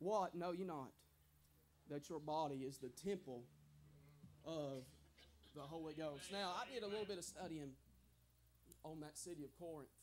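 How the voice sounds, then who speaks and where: A man's fairly high voice with ordinary pitch variation, long, frequent pauses and light background noise. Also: moderate pace. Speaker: preacher. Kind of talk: sermon delivered at a tent revival. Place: tent. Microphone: lapel.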